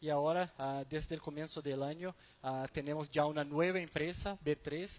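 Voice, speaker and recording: A man with a Brazilian accent speaks at a moderate pace in a fairly high pitch, his intonation monotone and flat. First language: Portuguese (speaking Spanish). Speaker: stock exchange market development manager. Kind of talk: conference presentation. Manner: halting, many fillers and repetitions.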